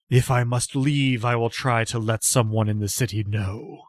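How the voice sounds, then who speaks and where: Put-on character voice from a man, medium-pitched with fairly even intonation at a moderate pace, on a very clean recording with a silent background. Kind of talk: formal, courteous.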